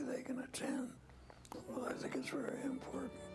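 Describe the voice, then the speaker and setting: Clear music can be heard behind the speech. The speaker is a man. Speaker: retired judge and former state legislator. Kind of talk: interview answer. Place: home room.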